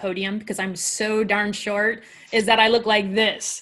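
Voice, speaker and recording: A woman at medium pitch. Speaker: panel moderator. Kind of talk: panel discussion. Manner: fast.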